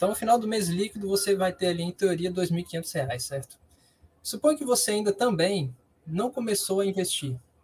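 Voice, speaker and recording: Pitched high, a man speaks at a moderate pace with lively intonation. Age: 20s. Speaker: university student and investment consultant. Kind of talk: interview answers, explanatory.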